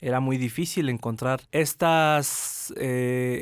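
A man talks with an unremarkable speaking voice and ordinary pitch variation. The recording is very clean, with a silent background. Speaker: film festival director. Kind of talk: radio interview. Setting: radio studio.

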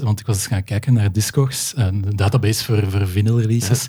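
A man talks at a moderate pace in a fairly low pitch. His voice is somewhat breathy, with a dark, mellow tone. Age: 40s. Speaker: podcast host. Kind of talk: casual conversation.

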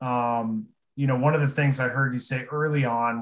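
A man with an American accent talks at a moderate pace. He has a plain, everyday voice at a medium pitch. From Aurora, Nebraska. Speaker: podcast co-host. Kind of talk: casual interview chat.

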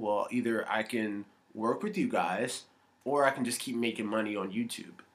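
With a plain, everyday voice, a man speaks at a moderate pace and a medium pitch. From United States. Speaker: actor and comedian. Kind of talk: casual interview chat. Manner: friendly, laid-back, laughs often.

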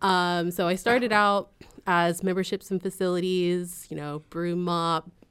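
A woman with a Californian accent speaks at a fairly slow pace and a fairly low pitch. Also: fairly even intonation. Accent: General American (Californian). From San Jose, California. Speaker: arts nonprofit associate director. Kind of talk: casual interview.

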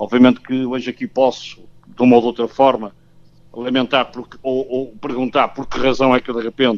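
A man speaking at a moderate pace with a medium pitch. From Portugal, Porto. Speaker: football coach. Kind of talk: radio interview. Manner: halting.

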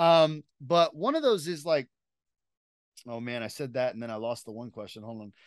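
The background is quiet. Long, frequent pauses break up the speech. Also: moderate pace. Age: 40s. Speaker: podcast host. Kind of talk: casual chat.

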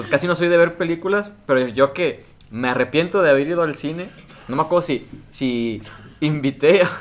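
A man talks at a moderate pace with a normal speaking voice. His pitch is fairly high, with ordinary variation. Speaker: podcast co-host. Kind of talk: casual chat.

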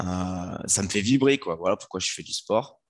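A man with a very deep, low voice talks fairly slowly against a quiet background. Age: 30s. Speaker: fitness coach and former soldier. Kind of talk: podcast interview.

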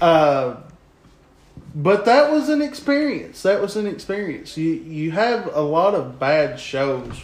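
Over noticeable background noise, a man with a high pitch speaks at a very slow pace with very wide pitch swings. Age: 30s. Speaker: professional wrestler. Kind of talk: casual chat. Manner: repeats and stammers words.

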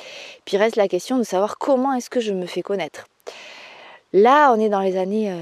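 A woman talks with a dark, mellow tone. The sound is dry and close, without any echo. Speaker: therapist and podcast host. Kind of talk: solo podcast storytelling.

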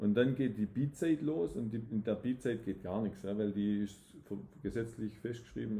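A man's fairly low, dark, mellow, somewhat breathy voice at a fairly quick pace. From southwest Germany, Tübingen area (Swabia). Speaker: real estate developer. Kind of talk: casual interview. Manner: hesitant, many restarts.

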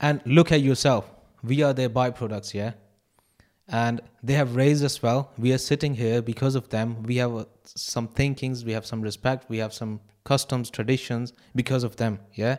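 Recorded very cleanly against a silent background, a man with a normal speaking voice talks at medium pitch and a moderate pace with fairly even intonation. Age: 20s. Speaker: podcast panelist. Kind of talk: casual chat.

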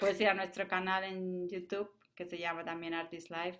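A woman speaks at a moderate pace. She has a Spanish accent. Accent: Spanish (Spain). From Spain. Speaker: jazz pianist and composer. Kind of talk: interview conversation. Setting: remote call.

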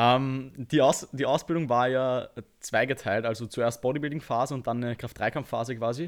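In an unremarkable speaking voice, a man of medium pitch talks at a moderate pace with fairly even intonation against a quiet background. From Austria. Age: 20s. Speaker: bodybuilder and online coach. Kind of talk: podcast interview.

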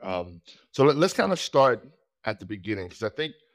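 A man with a fairly low pitch, big pitch swings and a moderate pace.

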